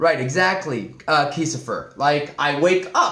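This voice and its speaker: High in pitch, a man sounds animated, with lively intonation. There is audible echo in the room. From Spain, Madrid. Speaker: Spanish teacher. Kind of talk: live-stream language lesson. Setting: live stream.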